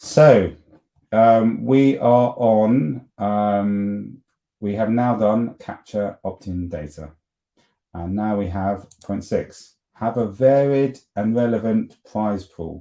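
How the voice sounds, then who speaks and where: Very slowly, a man speaks in a fairly low voice with a dark, mellow tone and ordinary pitch variation. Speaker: marketing agency presenter. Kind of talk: live webinar presentation. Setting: livestream on YouTube and LinkedIn. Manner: casual with many fillers and restarts.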